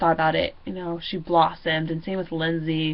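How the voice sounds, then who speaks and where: A woman speaks loudly in a fairly low voice. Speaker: student teacher. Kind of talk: video reflection monologue. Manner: animated.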